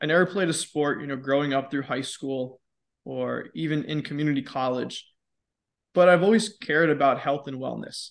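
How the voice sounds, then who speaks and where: An ordinary speaking voice belongs to this man, with fairly high pitch and ordinary pitch variation. He talks at a moderate pace against a quiet background. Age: 20s. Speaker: fitness educator and podcast host. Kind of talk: casual interview.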